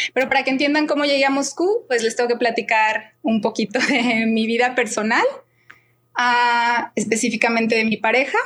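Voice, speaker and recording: A woman in a Mexican accent speaks at a moderate pace and a fairly high pitch, with fairly even intonation and very even loudness. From Mexico, Guadalajara. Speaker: expat interviewee. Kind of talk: podcast interview.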